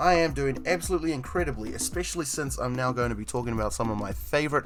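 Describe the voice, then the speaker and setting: Music in the background and audible room echo accompany a man talking at a very fast pace with a New Zealand accent. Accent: New Zealand accent, mistaken for Australian. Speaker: streamer. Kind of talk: casual chat. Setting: live stream with voice chat.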